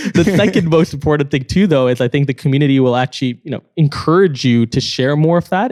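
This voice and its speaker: Speaking at a very fast pace, a man shows a slight Canadian accent and ordinary pitch variation. The sound is dry and close, with no echo. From Canada. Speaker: startup co-founder. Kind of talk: casual chat.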